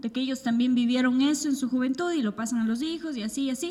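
A woman's high-pitched voice is heard with clear background noise behind it. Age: 20s. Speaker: podcast co-host. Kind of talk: casual chat.

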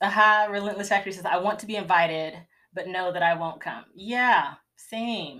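A woman with a Southern US accent, medium pitch, a bright, sharp tone, ordinary pitch variation and a moderate pace. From US South (Georgia). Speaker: homeschooling mom and podcast host. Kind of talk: live Q&A chat. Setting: livestream. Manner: conversational, many fillers.

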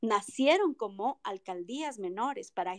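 At a high pitch, a woman talks fairly slowly with lively intonation, the sound dry and close with no echo. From Ecuador, Quito (moved there at six; family from Loja). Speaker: lawyer and mayoral pre-candidate. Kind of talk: political interview. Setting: online audio room.

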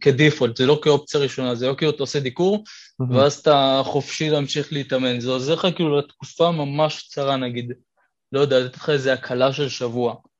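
A plain, everyday voice from a man, fairly high in pitch, at a fairly quick pace with fairly even intonation. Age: 20s. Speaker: calisthenics athlete and physiotherapy student. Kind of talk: casual interview chat.

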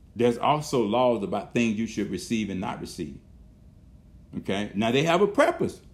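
A man is speaking with vocal fry. His pitch swings very widely. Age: 60s. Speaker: pastor. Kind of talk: sermon. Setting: video call. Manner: animated.

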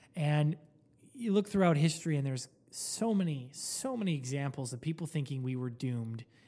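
Here a man with an American accent talks at a fairly high pitch. His tone is dark and mellow, and his pace is fairly quick. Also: very clean recording, silent background. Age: 20s. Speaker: podcast co-host. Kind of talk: casual chat.

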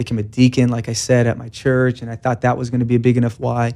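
Delivered at a very fast pace with an American accent, the voice has a dark, mellow tone and monotone, flat intonation. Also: man. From California, Bakersfield. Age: 30s. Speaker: church deacon. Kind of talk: testimony.

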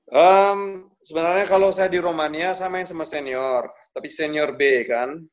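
A man with a high pitch talks at a moderate pace with ordinary pitch variation and hardly any pauses. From Bali, Indonesia. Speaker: professional footballer. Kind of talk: casual interview.

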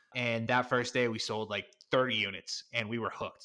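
A man with an American accent speaks at medium pitch in a bright, sharp tone, recorded very cleanly against a silent background. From US Northeast, Connecticut. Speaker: e-commerce marketing consultant. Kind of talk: interview.

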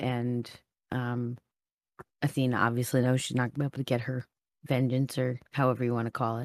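A woman's very deep, low voice with a dry, close sound and no echo. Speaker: tabletop game player. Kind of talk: casual roleplaying chat. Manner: animated, nervous but excited.

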